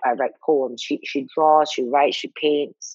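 This is a woman speaking. The sound is dry and close, with no echo. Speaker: podcast host. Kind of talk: casual chat. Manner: animated.

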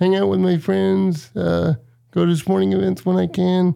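His tone is dark and mellow, and his pitch swings very widely. The man keeps a moderate pace. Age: 30s. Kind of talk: casual interview.

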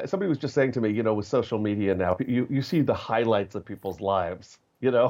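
The man's words come out very fast. He speaks at a medium pitch. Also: ordinary pitch variation. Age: 50s. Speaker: actor. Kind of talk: interview. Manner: halting.

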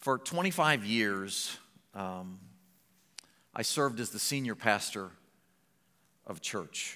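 A man with a fairly low pitch and an American accent speaks at a very slow pace in a bright, sharp tone, his intonation lively, with long, frequent pauses and audible room echo. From Ohio. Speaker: college president and former pastor. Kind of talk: sermon. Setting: church.

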